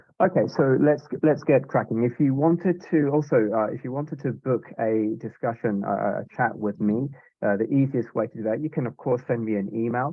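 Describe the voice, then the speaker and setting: Fairly quick speech in a British accent, with ordinary rises and falls in pitch. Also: man, medium pitch for a man. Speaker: software sales manager. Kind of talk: webinar product demo. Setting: Zoom webinar. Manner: hesitant, many fillers and repeats.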